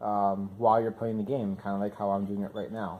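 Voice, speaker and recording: In a very clean recording with a silent background, a man talks at a very fast pace, his fairly low voice dark and mellow in tone. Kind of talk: gameplay commentary. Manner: halting, many fillers; casual.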